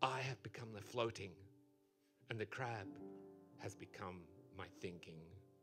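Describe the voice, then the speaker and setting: A man's put-on character voice, raspy and fairly low, solemn in tone, at a moderate pace with long, frequent pauses, over clear music in the background. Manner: mock-profound, solemn.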